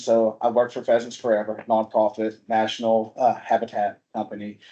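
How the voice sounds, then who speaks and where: The speech comes at a moderate pace in a Southern US accent. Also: man. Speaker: habitat project coordinator. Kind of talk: informal presentation at a meeting. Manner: casual, conversational.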